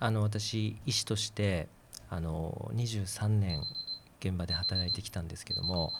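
Somewhat breathy speech at a moderate pace with fairly even intonation. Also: man. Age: 40s. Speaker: physician and political candidate. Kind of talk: casual discussion.

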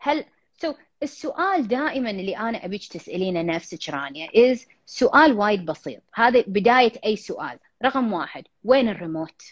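An animated voice moves at a moderate pace with very wide swings in pitch. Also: woman, fairly high pitch for a woman. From Kuwait. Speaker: life coach. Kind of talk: live-stream Q&A coaching chat. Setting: Instagram live video call.

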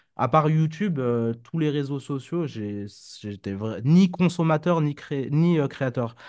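Lively intonation marks a man's medium-pitched voice. He speaks at a fairly slow pace over a quiet background. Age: 30s. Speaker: crypto trader and entrepreneur. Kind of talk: casual interview. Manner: hesitant, many fillers.

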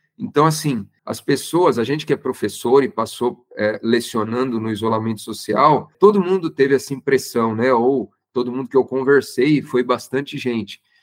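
With an ordinary speaking voice, a man talks at a moderate pace and medium pitch, with ordinary pitch variation. He hardly pauses, and the sound is dry and close with no echo. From Santo André, São Paulo state, Brazil. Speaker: designer and university professor. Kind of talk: casual interview chat.

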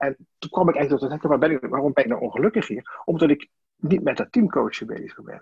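A man talks at a very fast pace in a fairly high, somewhat breathy voice. His intonation is lively. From Limburg, Netherlands (Sittard). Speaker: team coach. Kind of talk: interview. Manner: halting.

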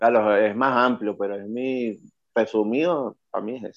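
Fairly slow in pace, this is an unremarkable speaking voice. The intonation stays fairly even. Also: man. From Venezuela, La Guaira. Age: 40s. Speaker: rapper. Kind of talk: interview.

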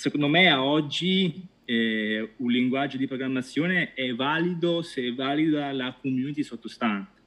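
A man with a fairly high pitch and ordinary variation, speaking fairly slowly with hardly any pauses. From Italy, Pescara (Abruzzo). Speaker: data science team leader. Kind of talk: interview. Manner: halting, many repetitions.

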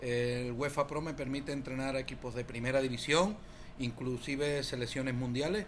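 At a moderate pace, the voice holds a fairly even intonation. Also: man, medium pitch for a man. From Spain. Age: 40s. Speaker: football coach. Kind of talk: casual chat.

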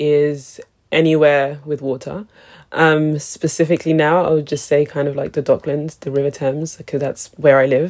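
A woman with a very deep, low voice and a London accent. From London, England. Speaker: cultural strategist and creative director. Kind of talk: interview.

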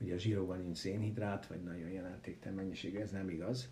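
Dark, mellow tone with a somewhat breathy edge and audible room echo. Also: man. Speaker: medical professor and researcher. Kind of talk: interview.

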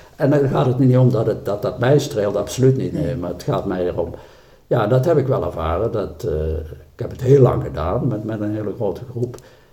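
A man speaks at a fairly quick pace with lively intonation. Audible room echo surrounds his voice. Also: medium pitch for a man. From South Limburg, Netherlands. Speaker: church member. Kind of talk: casual interview. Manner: halting.

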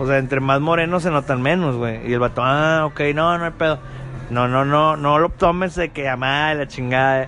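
A man with fairly high pitch speaks at a moderate pace. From Monterrey, Mexico. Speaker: podcast host. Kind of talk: casual chat. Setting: apartment recording. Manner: animated.

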